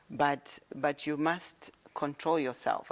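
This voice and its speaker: A woman speaks with a very deep, low pitch. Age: 60s. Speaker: politician. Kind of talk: interview.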